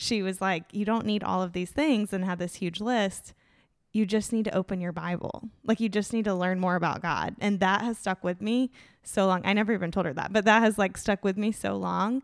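A woman talks at a fairly quick pace and a medium pitch in an ordinary speaking voice, her intonation fairly even on a very clean recording with a silent background. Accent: American. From Tallahassee, Florida. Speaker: schoolteacher. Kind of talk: casual chat.

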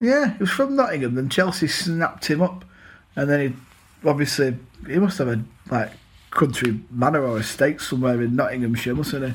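Somewhat breathy speech at a fairly quick pace with lively intonation. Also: man, fairly high pitch for a man. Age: 30s. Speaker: football podcast co-host. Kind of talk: casual chat.

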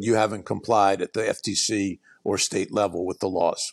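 A man's plain, everyday voice, fairly low in pitch, at a fairly quick pace with fairly even intonation, in dry, close sound with no echo over a quiet background. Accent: American. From US Northeast, West Philadelphia and Baltimore area. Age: 60s. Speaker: attorney and author. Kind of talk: podcast interview.

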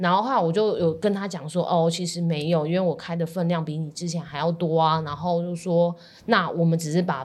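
Talking at a very fast pace, a woman keeps her fairly low voice in fairly even intonation. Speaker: dietitian, podcast co-host. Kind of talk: casual chat.

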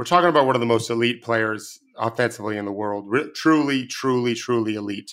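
A man talks at a fairly quick pace at medium pitch with ordinary pitch variation and a bright, sharp tone. The recording is very clean with a silent background. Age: 50s. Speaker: basketball coach and analyst. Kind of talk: casual chat.

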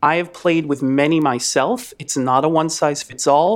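With an unremarkable speaking voice, a man talks at a fairly high pitch that varies in an ordinary way. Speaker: speech language pathologist. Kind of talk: interview. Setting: video call with microphone.

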